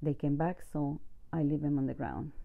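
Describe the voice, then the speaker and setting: A woman with a non-native accent and a very deep, low pitch speaks at a moderate pace with ordinary pitch variation. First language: not English. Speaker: home gardener, video creator. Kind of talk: garden tour walkthrough. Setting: outdoors in garden. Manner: casual, with hesitations.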